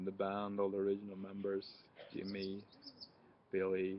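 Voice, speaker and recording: A man with a Swedish accent, fairly low-pitched, in a flat monotone. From Sweden. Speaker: music reviewer. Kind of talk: casual product review. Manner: hesitant, many fillers.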